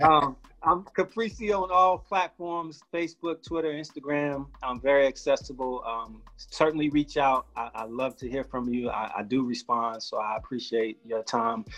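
Over music in the background, a man with an American accent speaks at a fairly high pitch, a moderate pace and lively intonation, with hardly any pauses. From Los Angeles and Chicago. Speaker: guest speaker, entrepreneur. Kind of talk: casual interview.

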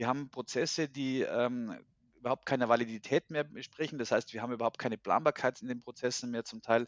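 A medium-pitched man at a very fast pace. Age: 40s. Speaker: HR consultant and agile coach. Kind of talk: casual interview.

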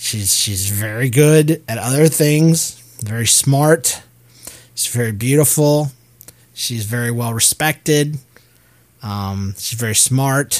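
Delivery is very slow, broken by long, frequent pauses, with ordinary pitch variation. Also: man, medium pitch for a man. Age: 40s. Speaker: podcast host. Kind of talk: casual chat. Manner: halting.

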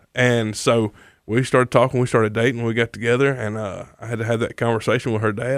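The recording is very clean with a silent background, and a man with a Mississippi accent talks at a fairly quick pace and a medium pitch. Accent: US Southern (Mississippi). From Mississippi, North Jones County. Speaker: recovery ministry leader. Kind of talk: testimony.

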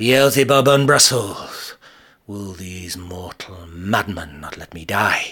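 At a very slow pace, a man speaks in a bright, sharp, theatrical, weary tone with lively intonation, on a very clean recording with a silent background. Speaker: poet reciting an original poem. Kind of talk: poet spoken word, a dramatic monologue in the voice of an ancient tree. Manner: theatrical and declamatory, with weary, grumbling gravitas; rhythmic, rhyming delivery, mock-tragic and darkly humorous.

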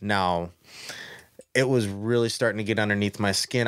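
On a very clean recording with a silent background and a dry, close sound with no echo, a man with a normal speaking voice talks at a fairly low pitch with fairly even intonation. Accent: American. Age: 30s. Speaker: bass angler. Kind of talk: casual chat.

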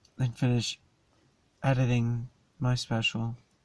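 The voice is somewhat breathy, moving at a fairly slow pace with monotone, flat intonation. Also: man. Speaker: comedian. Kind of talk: casual chat. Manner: casual, rambling with fillers.

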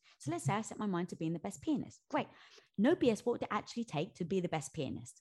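A woman speaks at a very fast pace, her somewhat breathy voice at medium pitch with very wide pitch swings. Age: 40s. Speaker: author. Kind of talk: casual chat.

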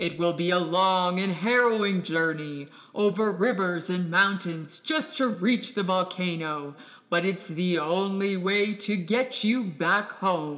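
The speaker puts on a character voice. The words come at a fairly slow pace. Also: man, high pitch for a man. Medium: audio drama. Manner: slow, wise, commanding.

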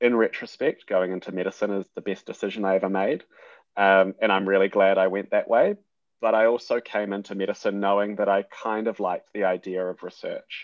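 A man's fairly low voice at a fairly quick pace, monotone and flat in intonation. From New Zealand (Hamilton). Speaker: junior doctor and surgical researcher. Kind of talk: interview.

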